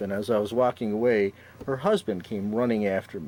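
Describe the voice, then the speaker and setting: Speaking with a Chicago accent, a man uses a fairly low pitch and fairly even intonation. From Chicago, Austin neighborhood. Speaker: city council candidate, public defender. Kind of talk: talk show interview. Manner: halting, many fillers.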